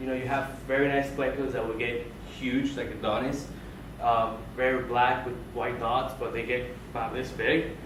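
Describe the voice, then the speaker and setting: A man talks at a moderate pace. Room echo is audible, and there is noticeable background noise. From Colombia. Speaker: aquarium hobbyist speaker. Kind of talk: club presentation. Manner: informal, many fillers.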